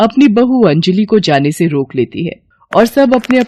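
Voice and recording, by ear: The passage is read aloud in a natural voice.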